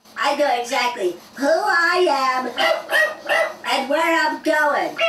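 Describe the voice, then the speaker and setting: A cartoonish character voice, female-sounding and high in pitch, is heard here. There is a slight echo. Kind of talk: stand-up comedy routine. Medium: puppet show. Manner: jokey, boastful, chatty.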